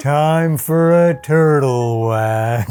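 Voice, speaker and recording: The speaker uses a put-on character voice at a low-to-middle pitch. Clear background noise can be heard. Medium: actual play. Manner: blunt, deadpan.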